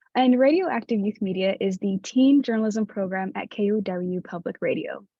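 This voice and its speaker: This woman's voice is fairly high in pitch and somewhat breathy. She keeps a moderate pace with lively intonation. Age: 20s. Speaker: community outreach assistant at youth radio program. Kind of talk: workshop presentation. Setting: virtual workshop.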